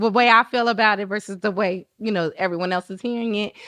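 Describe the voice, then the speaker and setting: At medium pitch and a moderate pace, a woman uses a normal speaking voice with fairly even intonation. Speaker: podcast host and singer. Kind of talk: casual interview chat.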